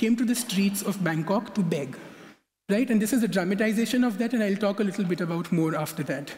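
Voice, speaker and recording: Against noticeable background noise, a man with a high pitch speaks at a fairly quick pace with ordinary pitch variation. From India. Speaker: conference speaker. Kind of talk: lecture. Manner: fast.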